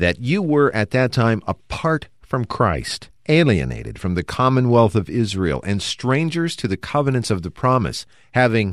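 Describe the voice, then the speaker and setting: The pitch swings very widely and the pace is fairly slow. The recording is very clean, with a silent background. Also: man. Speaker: radio program host. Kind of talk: religious radio discussion.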